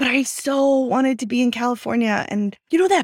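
An ordinary speaking voice from a woman with an American accent and ordinary pitch variation, in a very clean recording with a silent background. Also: dry, close sound with no echo. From Austin, Texas. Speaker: tech founder and investor. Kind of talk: interview.

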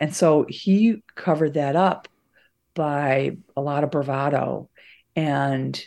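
Against a quiet background, a woman with an American accent speaks in a very deep, low pitch with a dark, mellow tone and fairly even intonation. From US Midwest, suburban Chicago. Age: 60s. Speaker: investigative reporter and journalism professor. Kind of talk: interview.

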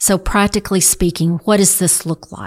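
On a very clean recording with a silent background, a woman speaks at a moderate pace in a fairly low voice with fairly even intonation. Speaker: church podcast co-host. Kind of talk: casual chat. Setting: studio.

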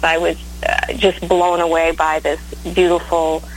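Noticeable background noise runs under a woman's voice. She speaks at a fairly slow pace. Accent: American. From Maine, US. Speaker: blues singer-songwriter. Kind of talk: interview. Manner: hesitant, many fillers.

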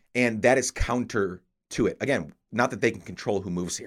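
A man's unremarkable speaking voice in a very clean recording with a silent background. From upstate New York. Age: 30s. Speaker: podcast host. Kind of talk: casual chat.

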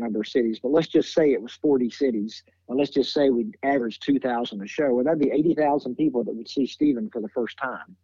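A man with a Tennessee accent talks at a very fast pace. His pitch is medium, with ordinary variation. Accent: Southern US (Tennessee). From Nashville, Tennessee. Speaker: music booking agent. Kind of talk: interview conversation.

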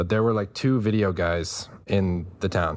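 On a very clean recording with a silent background, a man talks with an American accent. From Texas. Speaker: animator and content creator. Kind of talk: casual interview. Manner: hesitant, many fillers.

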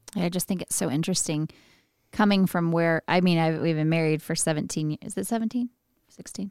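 A woman speaks at a very fast pace in a Texan accent, with a fairly low pitch. The sound is dry and close with no echo, on a very clean recording with a silent background. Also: ordinary pitch variation. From West Texas (Midland area). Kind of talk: casual chat.

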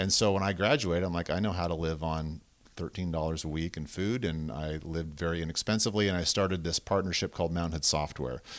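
Over a very clean recording with a silent background, a man with a West Coast accent talks very fast in a very deep, low voice, with ordinary pitch variation and hardly any pauses. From southern Oregon (Medford), US. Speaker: web development company founder and ski coach. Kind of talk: casual interview.

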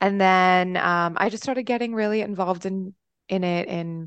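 A woman with an American accent speaks in a plain, everyday voice at a medium pitch, with ordinary pitch variation and a moderate pace. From Texas, via upstate New York. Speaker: arts administrator and singer. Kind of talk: casual chat.

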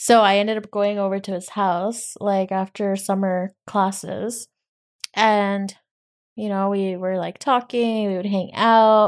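A woman's medium-pitched voice, monotone and flat, at a fairly slow pace in a very clean recording with a silent background. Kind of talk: casual chat. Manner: bantering, sarcastic.

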